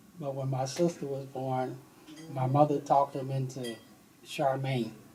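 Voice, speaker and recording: Noticeable background noise behind speech at a fairly slow pace. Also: man. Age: 70s. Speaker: interviewee, father of host. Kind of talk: family interview, personal memories.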